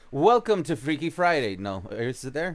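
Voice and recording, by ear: Using a hoarse, put-on character voice, a man speaks at a moderate pace in a fairly high pitch with very wide pitch swings.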